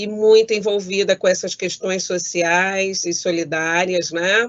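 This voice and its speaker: A woman talks at a very slow pace. Her pitch is medium. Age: 60s. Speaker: judge. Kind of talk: prepared talk. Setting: video call from home. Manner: formal.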